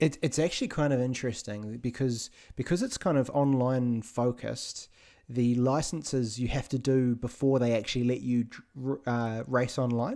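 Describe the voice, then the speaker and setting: With a New Zealand accent and a dark, mellow tone, a man speaks at a medium pitch and moderate pace, his intonation fairly even and loudness very even, on a very clean recording with a silent background. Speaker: podcast co-host and streamer. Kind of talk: casual chat.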